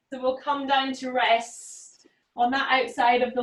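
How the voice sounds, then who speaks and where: With a Scottish accent, a woman speaks in a calm tone at a high pitch. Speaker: yoga teacher. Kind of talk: guided yoga class instruction. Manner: calm, encouraging.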